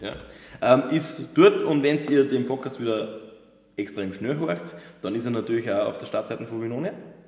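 Pausing long and often, a man talks at a moderate pace and medium pitch with lively intonation and big swings in loudness. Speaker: wine podcast host. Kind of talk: casual chat. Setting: winery sales room.

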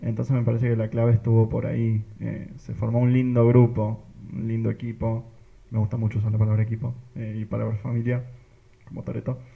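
Male voice at medium pitch, dark and mellow, somewhat breathy, monotone and flat, at a fairly quick pace. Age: 20s. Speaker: parish youth missionary. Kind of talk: casual group chat.

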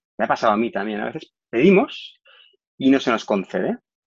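At a medium speed, the voice sounds dry and close, without any echo. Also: man. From Spain, Barcelona. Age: 40s. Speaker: corporate trainer. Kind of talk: testimony. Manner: halting, frequent fillers and repeated words.

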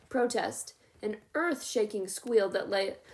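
The voice reads in an unforced way. Its intonation stays lively.

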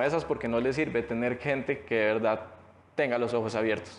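There is noticeable background noise in this clip. Through it, a man speaks at a moderate speed, his pitch varying in an ordinary way. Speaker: rapper and barber. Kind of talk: interview.

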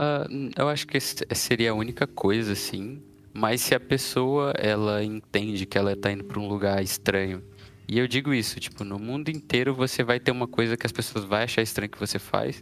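A man's voice with ordinary pitch variation, a normal speaking voice. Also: medium pitch for a man, moderate pace. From Brazil. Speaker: software developer. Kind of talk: casual chat.

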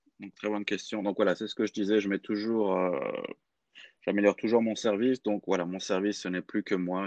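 A man talks at a fairly quick pace with fairly even intonation, in a dry, close sound with no echo. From France, Clermont-Ferrand. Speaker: language coach. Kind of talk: interview. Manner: halting.

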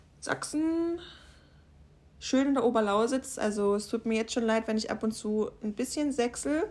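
Fairly high in pitch, a woman talks at a fairly slow pace with a Saxon accent and lively intonation. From Saxony, Upper Lusatia. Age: 20s. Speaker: podcaster. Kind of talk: personal monologue.

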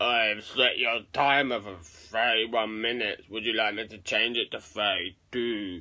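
Using a put-on character voice, a man speaks at a medium pitch. His pace is fairly slow. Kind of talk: polite, flat assistant tone.

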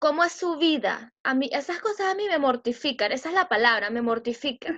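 At a moderate pace, a woman with a Venezuelan accent speaks in a high pitch with lively intonation. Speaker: podcast co-host. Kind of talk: casual chat.

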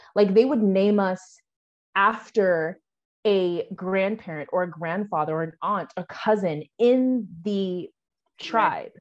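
A woman in a General American accent, medium pitch with ordinary pitch variation, at a very slow pace. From US Pacific Northwest, Washington. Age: 20s. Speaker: Air Force veteran and virtual assistant. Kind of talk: interview.

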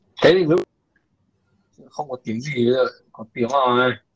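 This is a man talking. His intonation is lively. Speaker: podcast host. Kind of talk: casual chat.

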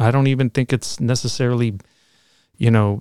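An unremarkable speaking voice moves at a fairly quick pace with fairly even intonation, recorded dry and close with no echo in a very clean recording with a silent background. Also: man. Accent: American. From Chicago, Logan Square. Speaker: physical therapist and DJ. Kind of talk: casual interview.

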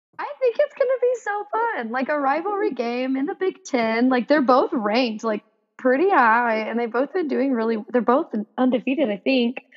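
A woman talks at a moderate pace with a high pitch. Her intonation is lively, with an American accent. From Texas. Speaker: podcast guest host, sports fan. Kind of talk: casual chat.

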